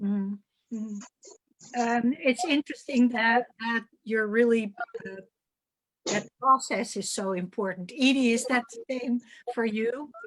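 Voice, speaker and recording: A woman speaks with a Dutch accent in a fairly high voice. Her pace is fairly slow. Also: ordinary pitch variation. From Netherlands. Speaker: curator moderating artist talk. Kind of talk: moderated panel discussion. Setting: video call.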